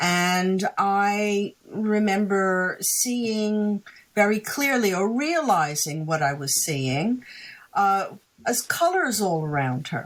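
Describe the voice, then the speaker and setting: A woman at a medium pitch speaks at a very slow pace. Her voice makes very wide pitch swings. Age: 60s. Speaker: psychic and author. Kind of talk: interview.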